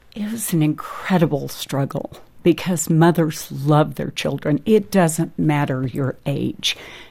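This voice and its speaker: In an American accent, a woman with a very deep, low pitch and a dark, mellow tone speaks at a fairly slow pace with vocal fry, ordinary pitch variation and hardly any pauses. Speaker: restaurant owner and birth mother. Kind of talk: testimony. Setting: studio.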